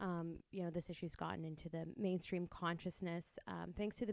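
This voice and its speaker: A woman speaks in a plain, everyday voice with a Canadian accent. Her pitch is fairly low and her intonation fairly even. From Windsor, Ontario. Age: 30s. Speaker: podcast co-host. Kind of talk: interview. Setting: guest's office.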